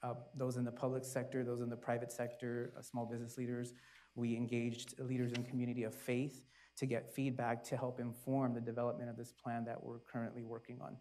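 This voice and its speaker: A man's medium-pitched voice with a dark, mellow tone, flat monotone intonation and a fairly quick pace. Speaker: city community services official; panelist. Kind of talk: panel discussion. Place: stage. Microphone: lapel.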